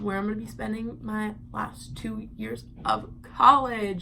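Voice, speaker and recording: In a room with audible echo, a woman with an American accent talks at a fairly slow pace. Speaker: vlogger. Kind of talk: casual vlog. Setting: home at night.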